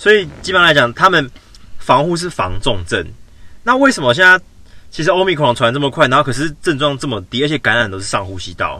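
A man with a fairly high voice speaks at a fairly quick pace, his pitch swinging very widely. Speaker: podcast co-host. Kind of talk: casual chat. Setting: in a car.

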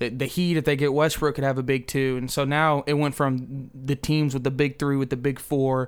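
A man speaks at a moderate pace with a fairly high pitch. His intonation stays monotone and flat. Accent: American. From New Jersey. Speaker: sports podcast guest, basketball fan. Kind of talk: casual sports talk.

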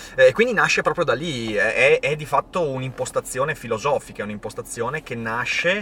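A man's voice, with noticeable background noise. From northern Italy, Veneto (Vicenza province). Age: 30s.

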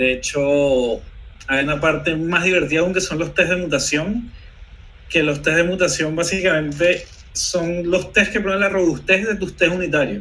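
This man's voice is high-pitched with a bright, sharp tone and ordinary pitch variation. He keeps a moderate pace, and audible room echo surrounds him. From Venezuela. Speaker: software developer co-host. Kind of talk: technical discussion. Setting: live stream video call.

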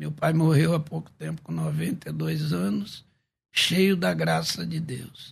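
A man speaks very slowly in a very clean recording against a silent background. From Rio de Janeiro, Baixada Fluminense. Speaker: pastor and preacher. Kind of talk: testimony. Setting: radio studio.

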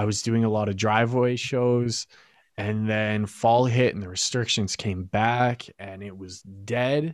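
Recorded very cleanly against a silent background, a man with a Canadian accent speaks fairly slowly at medium pitch, his loudness swinging widely. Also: fairly even intonation. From Alberta, Canada (Fort Saskatchewan, near Edmonton). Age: 20s. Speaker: pop singer. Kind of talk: casual chat.

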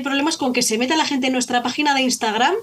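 A woman talks at a high pitch with ordinary pitch variation. Noticeable background noise is present. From Spain, Zaragoza (Aragon). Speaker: folk band violinist. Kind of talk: casual interview.

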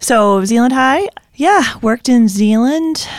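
Recorded with a dry, close sound and no echo, a woman speaks at a fairly slow pace with lively intonation. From Zeeland, western Michigan, US Midwest. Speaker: worship leader's wife. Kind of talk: casual Bible discussion. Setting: studio.

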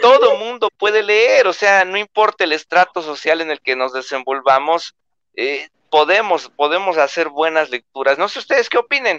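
A man with a Mexican accent speaks at a high pitch in a bright, sharp, animated tone with lively intonation. The sound is dry and close with no echo. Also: moderate pace. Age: 20s. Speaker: booktuber. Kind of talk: casual chat.

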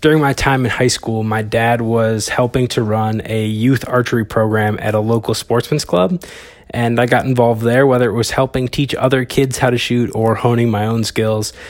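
A man at a medium pitch, with fairly even intonation, a moderate pace and hardly any pauses. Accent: Upper Midwest. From Wisconsin. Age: 20s. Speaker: podcast host, archer and videographer. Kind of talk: casual solo podcast monologue.

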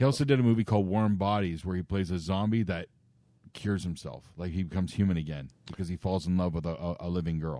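A man's very deep, low voice with a Canadian accent, dark and mellow in tone, at a very fast pace with ordinary pitch variation. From Canada, Chatham, Ontario. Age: 40s. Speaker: podcast co-host. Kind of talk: casual chat.

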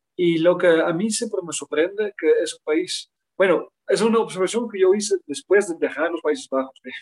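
Using lively intonation at a fairly slow pace, a man speaks at a high pitch in a Dutch accent, the sound dry and close with no echo. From Netherlands, near Utrecht. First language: Dutch (speaking Spanish). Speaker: international education expert. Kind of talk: interview.

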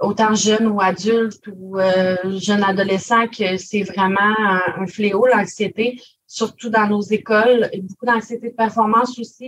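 Very slowly, a woman speaks in a somewhat breathy, flat monotone at a medium pitch. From Quebec, Gaspésie. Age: 20s. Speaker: government information clerk, spokesperson. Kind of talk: interview testimony.

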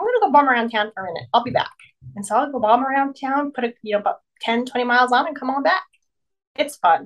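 Talking very fast in a high pitch, a woman uses lively intonation. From Alaska. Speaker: motorcycle rider. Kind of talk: casual chat.

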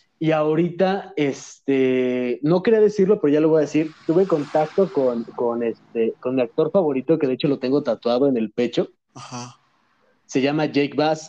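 A man with a Mexican accent speaks at a moderate pace and fairly high pitch, with a dark, mellow tone, ordinary pitch variation and a quiet background. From Mexico (moved from Madrid at 10). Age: 20s. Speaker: content creator. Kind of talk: casual chat.

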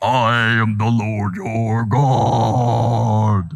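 A man puts on a character voice at a medium pitch. It sounds raspy. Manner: grand, solemn.

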